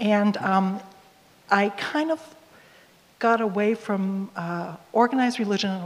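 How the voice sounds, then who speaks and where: A woman with a plain, everyday voice speaks at medium pitch and a fairly slow pace, with ordinary pitch variation. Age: 60s. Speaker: hospital chaplain. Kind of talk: panel discussion.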